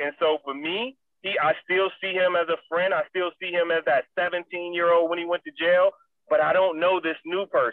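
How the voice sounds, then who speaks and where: This man's voice sits high in pitch, with fairly even intonation. He keeps to a moderate pace. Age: 40s. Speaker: former pro football player, motivational speaker. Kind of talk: interview. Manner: casual.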